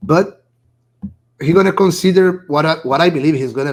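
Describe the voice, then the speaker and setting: Lively intonation marks this man's speech. He talks with a Brazilian accent. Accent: Brazilian, non-native English. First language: Portuguese. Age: 40s. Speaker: poker player and esports founder. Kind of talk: casual interview. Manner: halting.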